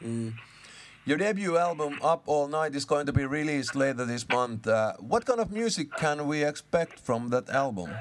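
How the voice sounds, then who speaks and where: Speaking in a Finnish accent, a man uses lively intonation at a fairly high pitch and a moderate pace. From Finland. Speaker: radio host. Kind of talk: phone interview.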